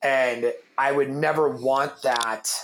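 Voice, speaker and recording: The speaker is a man. His pitch is fairly high. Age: 30s. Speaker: fitness entrepreneur and coffee company founder. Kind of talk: casual chat. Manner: loud.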